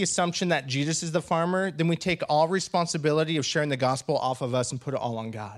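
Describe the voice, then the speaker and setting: Very fast, lively male speech at a fairly high pitch with a West Coast accent, hardly any pauses, in a very clean recording with a silent background. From Washington state. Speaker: pastor. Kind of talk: sermon. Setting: church.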